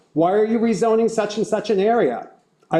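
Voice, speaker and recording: A man talks at a fairly quick pace while noticeable background noise runs underneath. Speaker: resident speaking at public hearing. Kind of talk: prepared public statement. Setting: council public hearing.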